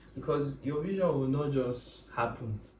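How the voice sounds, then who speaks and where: Audible room echo surrounds a man's voice. He speaks fairly slowly at a fairly high pitch. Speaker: Web3 tech speaker. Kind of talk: casual chat. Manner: animated.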